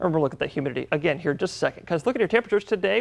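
Vocal fry runs through this man's fairly high-pitched voice, which makes very wide pitch swings. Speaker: weather forecaster. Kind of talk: weather report. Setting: TV studio. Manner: animated, cheerful, repeating 'lovely' and 'y'all'. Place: studio.

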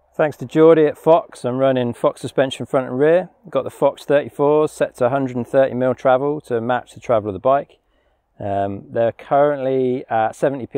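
A man talks at a fairly slow pace with ordinary pitch variation. The sound is dry with no echo, and the background is quiet. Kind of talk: casual bike check walkthrough. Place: forest.

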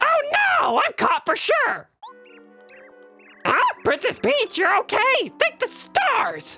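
Faint music plays behind a squeaky, put-on character voice with an extremely high pitch and very wide pitch swings, delivered at a very slow pace with long, frequent pauses. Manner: panicked, then relieved.

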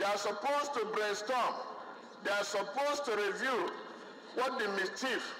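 Raising and projecting his voice, a man speaks at a moderate pace with fairly even intonation over light background noise. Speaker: legislator debating a motion. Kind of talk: parliamentary speech. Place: hall.

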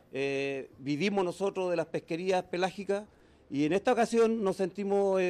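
High-pitched for a man, with ordinary pitch variation and a moderate pace. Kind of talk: interview answer. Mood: serious, aggrieved. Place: office. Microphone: handheld.

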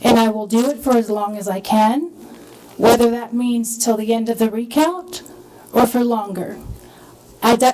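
A woman with an American accent speaks at a moderate pace and a fairly high pitch. Her pitch varies in an ordinary way over noticeable background noise. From Pasadena, Texas. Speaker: school board trustee. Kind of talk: heated debate. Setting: school board meeting room.

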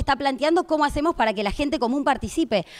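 Against a quiet background, a woman with a Rosario accent speaks at a high pitch with lively intonation. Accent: Argentine Spanish (Rosario). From Argentina, Rosario; Argentina. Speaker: political activist; panelist. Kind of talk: panel talk. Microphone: handheld.

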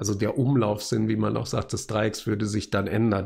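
Pitched fairly low, a man speaks in a dark, mellow tone that is somewhat breathy. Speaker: university lecturer. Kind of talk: tutorial. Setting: recorded video at desk.

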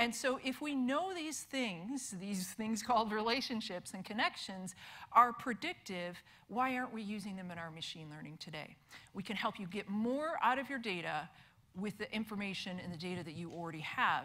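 A woman's bright, sharp voice at a moderate pace, with big swings in loudness. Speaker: conference presenter. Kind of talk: lecture. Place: hall.

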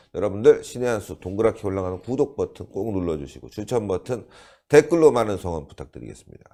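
With vocal fry and a dark, mellow tone, a man talks fairly quickly at a fairly low pitch that swings very widely. The recording is very clean, with a silent background. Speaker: political commentary show host. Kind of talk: political talk show interview.

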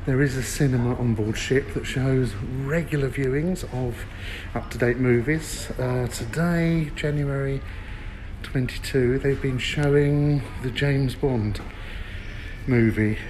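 Light background noise sits behind a man speaking at a fairly slow pace with fairly even intonation. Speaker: travel reviewer. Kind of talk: casual walkthrough commentary. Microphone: phone near.

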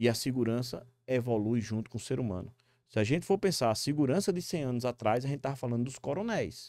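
Medium-pitched male voice with lively intonation and a dark, mellow tone, dry with no echo, over a quiet background. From Brazil, Northeast (Natal, Rio Grande do Norte); Rio Grande do Norte, Brazil. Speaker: security company executive; guest. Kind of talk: interview. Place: studio. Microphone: studio mic.

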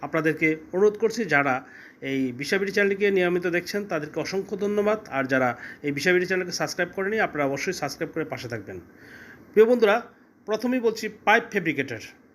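Here a man speaks in a high voice. His intonation is lively. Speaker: recruitment agent. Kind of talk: sales pitch. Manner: halting.

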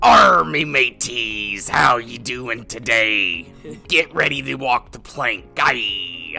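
Faint music plays in the background as a man does a put-on character voice at medium pitch and a very slow pace. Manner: playful, theatrical.

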